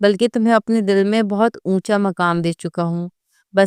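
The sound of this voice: An unforced reading voice, its pitch varying in an ordinary way, is heard with little behind it but a quiet background.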